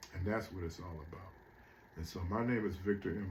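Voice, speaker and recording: A somewhat breathy voice comes through with audible room echo. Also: man. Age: 60s. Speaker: motivational speaker. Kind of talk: motivational monologue. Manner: casual, conversational.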